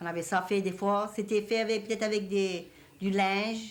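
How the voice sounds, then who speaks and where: A woman speaks with a Cajun accent. Her pitch is medium and her intonation fairly even. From Louisiana, Cajun country. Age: 60s. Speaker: elderly Cajun woman interviewee. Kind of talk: reminiscing interview.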